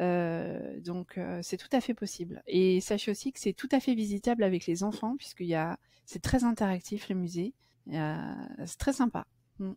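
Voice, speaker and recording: A woman with a dark, mellow tone talks at a moderate pace and a medium pitch, with big swings in loudness. The sound is dry and close, with no echo. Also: ordinary pitch variation. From France, raised partly in Amsterdam. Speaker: postpartum home care nurse. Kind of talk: podcast interview.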